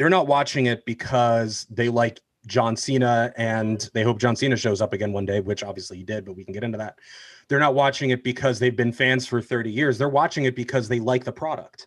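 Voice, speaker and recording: Against a quiet background, a man with an American accent uses a normal speaking voice, talking at a fairly quick pace with a medium pitch and ordinary pitch variation. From New Jersey. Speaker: podcast guest, wrestling fan. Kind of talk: casual chat.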